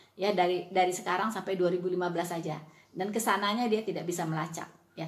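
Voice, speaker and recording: A woman at a medium pitch, very fast and fairly even in intonation, with audible room echo. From West Sumatra (Minangkabau). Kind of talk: casual video monologue, rebuttal. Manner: hesitant, many fillers.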